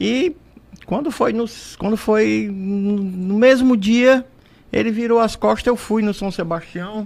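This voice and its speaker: A man's high voice moves at a very slow pace, with pitch varying in an ordinary way. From Brazil, Fortaleza, Ceará. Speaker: entrepreneur and inventor. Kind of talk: radio interview, storytelling. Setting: radio studio. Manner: animated.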